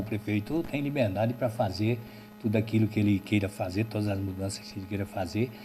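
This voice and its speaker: Backed by music, a man speaks at a fairly quick pace. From Alagoas, Brazilian Northeast. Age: 60s. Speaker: local party chairman. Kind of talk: interview.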